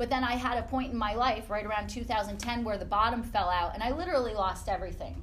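A woman speaks at a fairly quick pace in a fairly high pitch. Audible room echo surrounds her voice. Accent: American. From upstate New York. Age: 40s. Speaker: fitness business owner. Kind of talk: guest talk to a class. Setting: classroom with audience.

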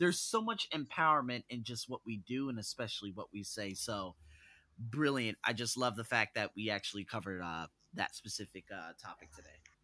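On a very clean recording with a silent background, a man with an American accent speaks at medium pitch in a bright, sharp tone, with ordinary pitch variation, big swings in loudness, and a dry, close sound with no echo. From US, North Las Vegas. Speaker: podcast host, personal development coach. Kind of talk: podcast interview. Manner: animated.

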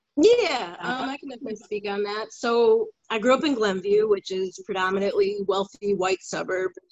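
Speaking with a Chicago accent, a woman of medium pitch keeps a moderate pace with hardly any pauses. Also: ordinary pitch variation, big swings in loudness. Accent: Chicago area American. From Chicago suburbs, US. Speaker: guest. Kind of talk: casual discussion.

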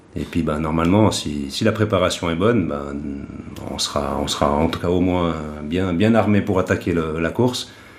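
Through noticeable background noise, a man with a very deep, low pitch speaks at a moderate pace with ordinary pitch variation. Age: 50s. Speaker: triathlete and club event organiser. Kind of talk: casual chat.

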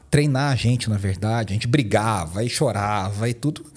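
A man with a Minas Gerais accent speaks at a fairly quick pace in a dark, mellow tone that is somewhat breathy. His pitch varies in an ordinary way on a very clean recording with a silent background. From Minas Gerais, Brazil (Poços de Caldas). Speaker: pastor and worship teacher. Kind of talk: podcast interview.

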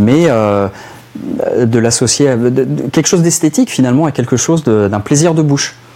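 A man talks at a fairly quick pace and medium pitch. Noticeable background noise runs under his voice. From western France, Nantes area. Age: 40s. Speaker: cigar expert and author. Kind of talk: casual chat.

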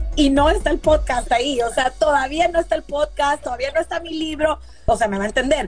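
Over noticeable background noise, a woman with a high pitch talks at a fairly quick pace in an animated tone with ordinary pitch variation. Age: 40s. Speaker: businesswoman and investor. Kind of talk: casual interview chat.

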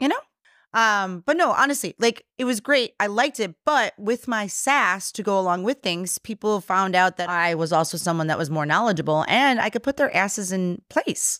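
Recorded very cleanly against a silent background, a woman talks at a moderate pace in a medium-pitched voice with a dry, close sound and no echo. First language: Polish. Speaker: brewery co-owner. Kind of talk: casual chat. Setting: studio.

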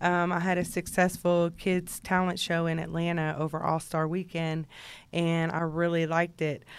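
On a very clean recording with a silent background, a woman with a Texan accent speaks at a moderate pace in a fairly low, monotone voice with flat intonation. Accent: Texan American. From Texas, Houston area. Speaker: rapper's personal manager. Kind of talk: casual interview. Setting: studio.

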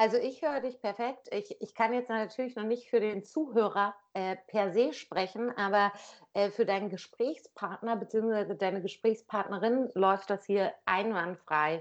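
A woman speaks at a fairly slow pace with a fairly high pitch. Her pitch varies in an ordinary way over a quiet background. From northern Germany, Lower Saxony (Wildeshausen area). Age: 30s. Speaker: podcast guest, NGO worker. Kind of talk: casual chat. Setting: Skype call. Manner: talkative.

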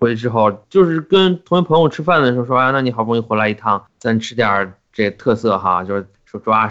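This man has a plain, everyday voice at a medium pitch, speaking at a fairly quick pace with hardly any pauses. His intonation is lively, and his loudness swings widely. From Qinghai, China (Xining). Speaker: podcast co-host. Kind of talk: casual chat.

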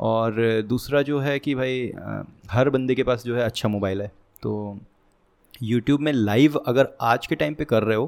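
Moderately paced speech from a man at medium pitch with ordinary pitch variation, in a very clean recording with a silent background. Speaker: programming content creator. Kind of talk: casual interview.

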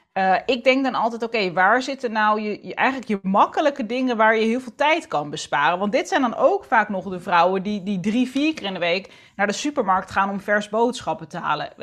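A woman with an unremarkable speaking voice talks at a moderate pace with hardly any pauses. Her pitch is fairly high and her intonation lively. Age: 30s. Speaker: entrepreneur and author on planning and structure. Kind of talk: casual interview chat.

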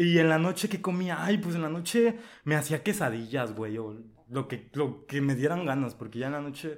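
With lively intonation, a man talks at a moderate pace in a fairly high pitch. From Mexico, Veracruz coast. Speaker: podcast guest. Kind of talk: casual chat.

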